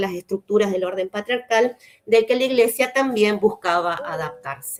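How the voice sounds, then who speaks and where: Fairly high pitch from a woman, with ordinary pitch variation. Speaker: historian lecturer. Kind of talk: lecture. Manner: fast; hesitant fillers.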